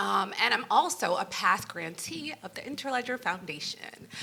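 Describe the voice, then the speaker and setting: This woman talks with a New York accent. There is noticeable background noise. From New York (Brooklyn). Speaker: nonprofit founder. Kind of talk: panel discussion.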